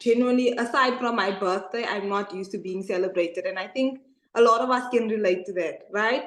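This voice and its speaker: A woman speaks at a fairly high pitch and a fairly quick pace. Her pitch varies in an ordinary way, and the room echo is audible. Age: 20s. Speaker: online business coach. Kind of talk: testimony. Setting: webinar video call.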